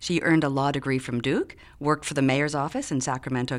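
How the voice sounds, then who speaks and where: Very fast and with an American accent, a woman talks in a very deep, low pitch. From Chicago. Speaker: podcast host. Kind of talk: scripted introduction; interview. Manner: halting.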